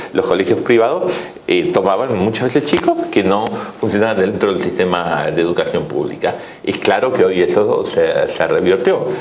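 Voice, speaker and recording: Speech at a moderate pace comes through noticeable background noise and audible room echo. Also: man. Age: 60s. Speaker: economist. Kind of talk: interview. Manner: hesitant, with fillers.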